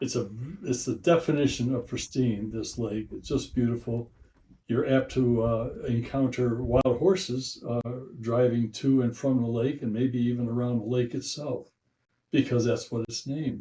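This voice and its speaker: Somewhat breathy and dark, mellow in tone, a man's voice sits at a medium pitch. He speaks at a moderate pace. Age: 80s+. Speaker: hiker, war veteran. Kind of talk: casual hiking video narration. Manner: enthusiastic, informal.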